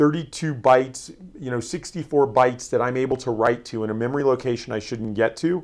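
With an American accent, a man has an ordinary speaking voice at medium pitch, speaking at a fairly quick pace with ordinary pitch variation over a quiet background. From Florida. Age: 40s. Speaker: security company executive. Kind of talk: interview.

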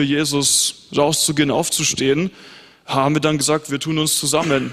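A man talks in a fairly high voice. His intonation stays flat and monotone. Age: young. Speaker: pastor. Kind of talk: panel discussion on stage.

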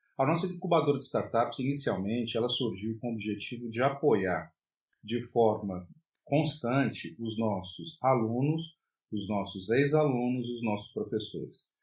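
Somewhat breathy, a man speaks at a moderate pace. His medium pitch shows ordinary variation. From Brasília, Brazil. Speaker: university professor. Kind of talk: self-recorded course presentation. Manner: hesitant, with fillers.

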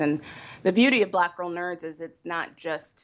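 Against a quiet background, a woman talks in an unremarkable speaking voice with ordinary pitch variation. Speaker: website founder and blogger. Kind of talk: casual interview.

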